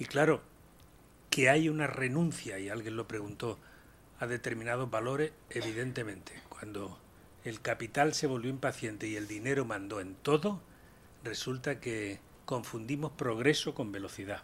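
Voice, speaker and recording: Speech arrives at a moderate pace. The tone is somewhat breathy, and the pitch varies in an ordinary way. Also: man, medium pitch for a man. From Andalusia, Spain (Úbeda, Jaén). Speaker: panelist, business ethics speaker. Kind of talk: round table discussion.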